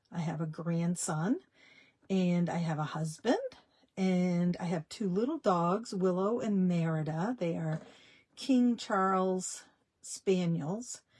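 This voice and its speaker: A woman with a somewhat breathy, fairly low voice speaks at a very slow pace, her pitch varying in an ordinary way. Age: 60s. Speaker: small business owner, dressmaker. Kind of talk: live stream chat. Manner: casual, halting with fillers.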